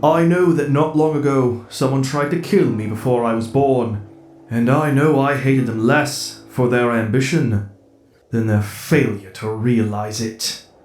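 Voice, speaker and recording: A man puts on a character voice at a medium pitch and a moderate pace. Faint music plays in the background. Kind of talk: comic dub performance. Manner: tired, resigned.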